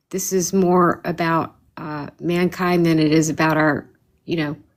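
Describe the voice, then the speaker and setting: A woman speaks at a moderate pace in a fairly low, flat monotone. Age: 60s. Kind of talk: call-in debate chat. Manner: halting, repeats words.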